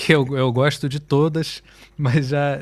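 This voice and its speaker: At a fairly slow pace, a man speaks with medium pitch and monotone, flat intonation. The recording is very clean, with a silent background. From Brazil, Rio de Janeiro. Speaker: musician. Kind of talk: interview.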